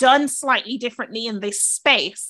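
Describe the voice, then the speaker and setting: With a raised, projected voice, a woman speaks at a high pitch and moderate pace. Her tone is bright and sharp, with ordinary pitch variation. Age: 20s. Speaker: podcast co-host and school governor. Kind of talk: casual chat.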